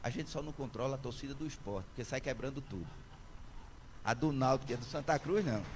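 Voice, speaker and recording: Somewhat breathy speech with long, frequent pauses and audible room echo. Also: man, medium pitch for a man, ordinary pitch variation, fairly quick pace. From Brazil, Pernambuco interior (sertão), born in Recife. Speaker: senior judge, honoree. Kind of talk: ceremonial acceptance speech. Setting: town council chamber, solemn session with audience. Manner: formal.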